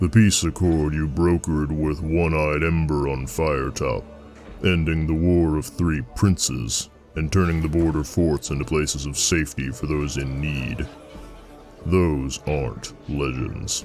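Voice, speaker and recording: Over clear background music, someone performs a put-on character voice at a moderate pace. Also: man. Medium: read story. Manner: plain-spoken, steady.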